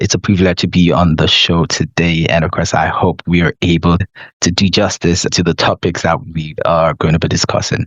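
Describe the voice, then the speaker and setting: A man's very deep, low voice with a Nigerian accent at a moderate pace. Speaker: consulting CEO and podcaster. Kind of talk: podcast interview. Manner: animated.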